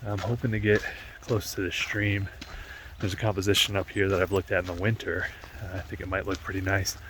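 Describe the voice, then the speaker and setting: A man with a fairly low voice talks very fast and quietly, his intonation fairly even, over noticeable background noise. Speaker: landscape photographer. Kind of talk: on-location vlog narration. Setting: outdoors in a national park valley. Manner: casual, hesitant with fillers; talking quietly.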